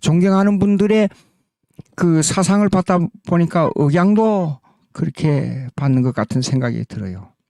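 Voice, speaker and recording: This man has a fairly high pitch and a dark, mellow tone, swinging very widely in pitch at a fairly slow pace, with a dry, close sound and no echo. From South Korea. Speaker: pastor and theology lecturer. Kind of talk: lecture. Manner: halting, with fillers and self-corrections.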